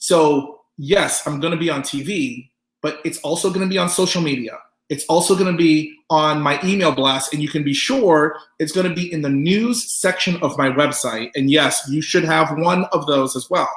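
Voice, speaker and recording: Animated in tone, a man with a fairly high pitch speaks at a moderate pace with ordinary pitch variation, with room echo audible. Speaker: pop artist teaching a business workshop. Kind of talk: online lecture presentation. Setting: online webinar.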